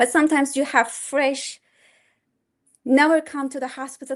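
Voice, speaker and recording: A woman's high-pitched voice with a Turkish accent against a quiet background. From Turkey. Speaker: pediatric resident physician. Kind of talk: testimonial speech to course participants. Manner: halting, many fillers and restarts.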